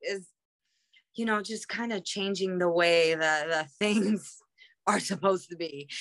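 A woman with a New York accent and a bright, sharp tone. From Queens, New York. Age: 30s. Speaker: professional wrestler. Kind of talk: casual chat.

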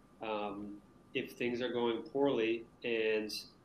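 Audible echo from the room around a man's voice of medium pitch. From Maine, US. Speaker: teacher. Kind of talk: casual interview.

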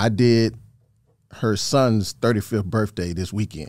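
On a very clean recording with a silent background, someone with an American accent talks at a moderate pace with fairly even intonation. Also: man. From Georgia, US South (Thomaston, Upson County). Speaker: DJ and radio mixer. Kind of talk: casual chat.

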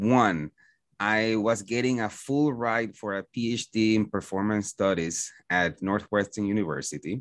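In a Puerto Rican accent, a man talks at a fairly slow pace with fairly low pitch and ordinary pitch variation, the sound dry and close with no echo against a quiet background. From Puerto Rico. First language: Spanish. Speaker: school principal. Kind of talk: interview conversation. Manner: hesitant, many fillers.

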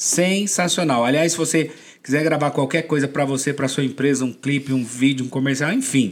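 The man's tone is animated and his pace fairly quick. His loudness stays very even. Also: fairly high pitch for a man. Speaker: podcast host. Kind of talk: casual interview. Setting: studio.

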